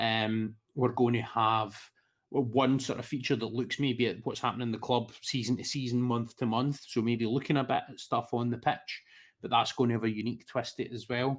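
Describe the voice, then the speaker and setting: Medium-pitched man with monotone, flat intonation at a fairly quick pace. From Scotland. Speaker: football podcaster. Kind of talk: casual chat.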